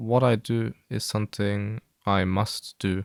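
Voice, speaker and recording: In a very clean recording with a silent background, a man with a fairly low pitch speaks in a dry, close sound with no echo. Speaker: gaming YouTuber. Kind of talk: personal monologue to viewers. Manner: flat, low-energy delivery; hesitant, many fillers.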